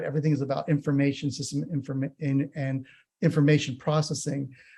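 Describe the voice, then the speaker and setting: Somewhat breathy, a man speaks with an American accent in a very clean recording with a silent background. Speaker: nursing professor. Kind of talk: conference talk. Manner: hesitant, many fillers.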